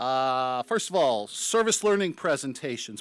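A man speaks at a moderate pace, with a dry sound and no echo. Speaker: club president. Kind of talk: meeting announcements. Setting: breakfast meeting hall. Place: hall. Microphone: podium.

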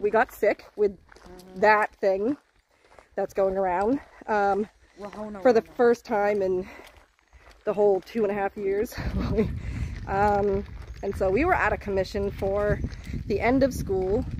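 A woman speaks at a fairly slow pace with long, frequent pauses, her voice dry with no echo over light background noise. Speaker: vlogger parent. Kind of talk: casual vlog chat. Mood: light, joking. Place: forest. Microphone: phone near.

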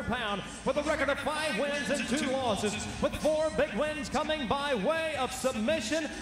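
With music in the background and audible room echo, a man with an extremely high pitch speaks at a moderate pace in an energetic, dramatic tone, his loudness very even, his pitch variation ordinary, and hardly any pauses. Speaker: MMA cage announcer. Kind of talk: live fight announcement, ring announcer introduction. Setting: live arena event with PA system. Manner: loud, energetic, dramatic. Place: stadium. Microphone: handheld.

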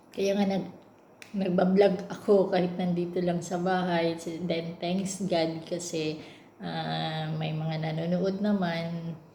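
A woman's fairly low, monotone voice with flat intonation at a very slow pace, with audible room echo and noticeable background noise. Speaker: domestic worker and vlogger. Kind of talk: casual vlog monologue. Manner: halting, many fillers.

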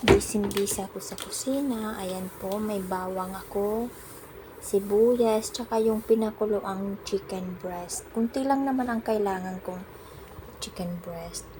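A woman speaks at a fairly slow pace with a medium pitch and fairly even intonation over noticeable background noise. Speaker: domestic worker vlogger. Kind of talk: cooking vlog narration. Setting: home kitchen.

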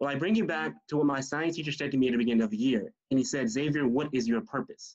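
A man with an American accent talks very fast in a fairly high pitch. His intonation is lively and the background quiet. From US South. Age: young. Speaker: youth debate student. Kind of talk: panel discussion. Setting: video call. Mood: earnest, reflective. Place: home room. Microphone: video call.

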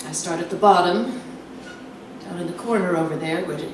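With audible room echo and noticeable background noise, a woman's fairly low voice rises and falls in an ordinary way. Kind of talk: dramatic reading. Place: stage. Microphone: handheld.

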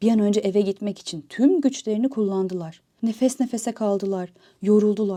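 What you hear is an unforced reading voice.

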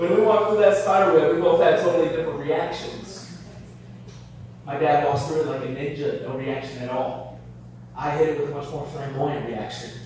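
A man talks at a fairly quick pace amid strong room echo and light background noise. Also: ordinary pitch variation. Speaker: stand-up comedian. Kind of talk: stand-up comedy set. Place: bar.

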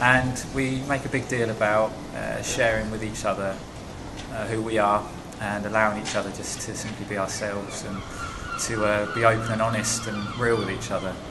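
Over noticeable background noise, a man speaks at a moderate pace in a fairly low pitch with monotone, flat intonation. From Essex, England; England. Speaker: church planter. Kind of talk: interview testimony. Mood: calm, sincere. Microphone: phone near.

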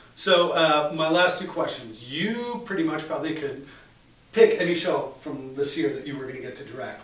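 In a room with audible echo, a man talks at a moderate pace in a fairly high voice. His intonation is lively, with big swings in loudness. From Chicago, south side. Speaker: theatre marketing staff; interviewer. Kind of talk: interview. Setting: theatre dressing room. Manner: casual. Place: home room. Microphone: camera far.

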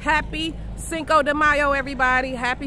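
A woman speaks in a raised, projected voice at a moderate pace with fairly even intonation. The sound is dry with no echo, though noticeable background noise is present. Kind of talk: casual vlog chat. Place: street. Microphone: earbuds.

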